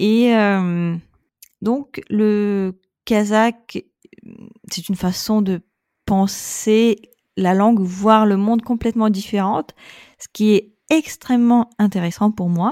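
In a Russian accent, the voice has a dark, mellow tone, fairly even intonation, a very slow pace, and long, frequent pauses, with a dry, close sound and no echo. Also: woman, fairly high pitch for a woman, very clean recording, silent background. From Russia, Saint Petersburg. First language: Russian (speaking French). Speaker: expat mother. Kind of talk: casual interview.

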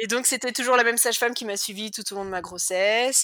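A woman's bright, sharp tone comes through in a very clean recording with a silent background. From western France, Cholet. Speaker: cancer survivor, mother. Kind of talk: personal testimony interview. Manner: talkative.

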